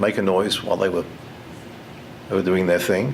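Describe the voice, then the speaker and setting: Noticeable background noise sits under the voice. The room also adds audible echo. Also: man. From England, then Toronto, Canada from age 14. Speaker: keynote speaker. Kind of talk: motivational speech. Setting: conference stage with audience. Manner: halting, many repeats and fillers.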